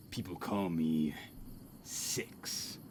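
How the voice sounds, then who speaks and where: In a put-on character voice, a man growls out gruff lines at a very deep, low pitch over light background noise. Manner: tough.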